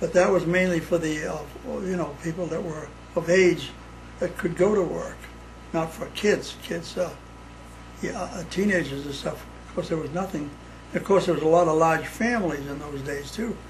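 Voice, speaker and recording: Against noticeable background noise, a man with a high voice speaks at a moderate pace, with fairly even intonation and long, frequent pauses. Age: 80s+. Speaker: son of Sicilian immigrants. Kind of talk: interview answer.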